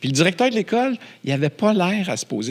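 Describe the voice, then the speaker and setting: An animated man with a Quebec accent talks at a fairly quick pace, his pitch swinging very widely. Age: 60s. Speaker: film producer and entrepreneur. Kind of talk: casual interview chat. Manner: animated storytelling.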